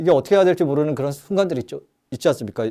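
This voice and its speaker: This man has a dark, mellow tone and a fairly high pitch, with ordinary pitch variation. The recording is very clean, with a silent background. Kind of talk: lecture. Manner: fast.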